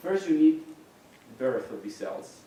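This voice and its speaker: The speaker has a Spanish accent and a moderate pace. Audible room echo and noticeable background noise fill the recording. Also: man. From Mexico. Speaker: neuroscientist. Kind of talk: lecture. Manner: some hesitations and restarts.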